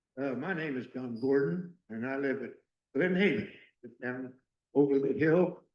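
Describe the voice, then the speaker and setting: A man with a fairly high pitch speaks at a moderate pace with long, frequent pauses and big swings in loudness, and audible room echo surrounds him. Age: 90s. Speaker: retired military resident speaking at town hall. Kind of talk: public comment testimony. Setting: town hall meeting at fire station. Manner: halting, repeated words.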